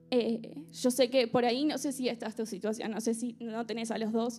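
A woman with an Argentine accent speaks in a high pitch. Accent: Argentine Rioplatense. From Argentina. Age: 20s. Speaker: churchgoer sharing testimony. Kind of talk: testimony. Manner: casual, humorous.

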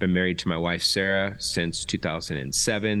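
With an American accent, a man speaks very slowly in a very deep, low pitch. The background is quiet. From Southern California. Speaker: pastor. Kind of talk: casual chat. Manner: casual, hesitant with fillers.

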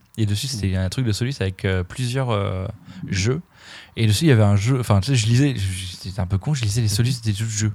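A man's fairly low, somewhat breathy voice at a fairly quick pace, with ordinary pitch variation. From France, Dijon. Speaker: podcast host and vegan cook. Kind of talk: casual chat. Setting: studio.

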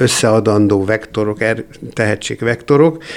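A man's voice at a moderate pace, with fairly even intonation and noticeable background noise. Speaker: composer and theatre founder. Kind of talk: interview.

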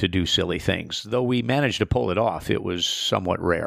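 Recorded very cleanly against a silent background, a man speaks with an Upper Midwest accent. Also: dry, close sound with no echo. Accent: Upper Midwest American. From US Midwest, South Central Minnesota. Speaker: itinerant preacher. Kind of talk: testimony.

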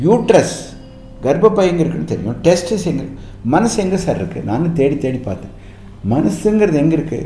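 A man's pitch swings very widely. Music plays in the background, and the room echo is audible. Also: fairly high pitch for a man. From Tamil Nadu, Coimbatore area (Annur village). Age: 80s+. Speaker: surgeon and hospital founder. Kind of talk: radio interview.

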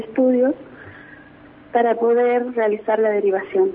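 A woman speaks at a high pitch and a moderate pace, with noticeable background noise. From Neuquén, Argentina. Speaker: grandmother and hospital worker. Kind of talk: phone interview testimony.

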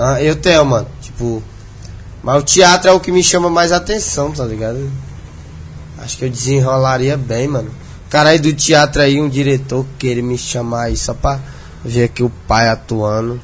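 Against noticeable background noise, a man with a medium pitch talks at a moderate pace with ordinary pitch variation. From Brazil, interior of Maranhão. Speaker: internet personality. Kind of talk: casual interview chat.

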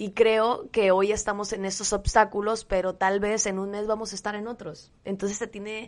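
A woman's medium-pitched, monotone delivery at a moderate pace, with hardly any pauses and a quiet background. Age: 20s. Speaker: podcast co-host. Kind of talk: casual conversation between partners.

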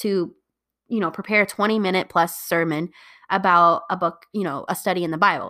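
An animated woman with an American accent at a moderate pace, on a very clean recording with a silent background. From Indiana, US Midwest. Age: 20s. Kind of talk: Bible study talk.

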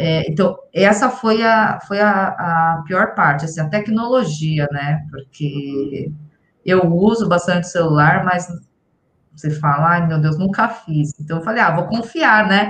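A woman's fairly low voice, with ordinary pitch variation, proceeds at a very slow pace. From São Paulo, Brazil. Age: 40s. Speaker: salesperson, course student. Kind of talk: interview testimony.

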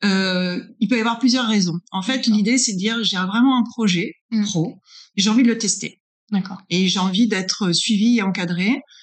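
Somewhat breathy and medium in pitch, a woman speaks at a fairly quick pace with fairly even intonation. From northern France. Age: 40s. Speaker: business consultant. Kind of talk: interview. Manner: hesitant, many fillers.

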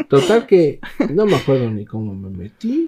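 A man speaks with a Mexican accent at a moderate pace. His tone is dark and mellow. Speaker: podcast host. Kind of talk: casual chat. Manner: casual, laughing.

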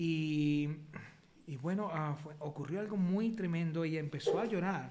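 With audible room echo around him, a man speaks at a moderate pace in a high pitch with ordinary pitch variation. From Colombia. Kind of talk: testimony. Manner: halting.

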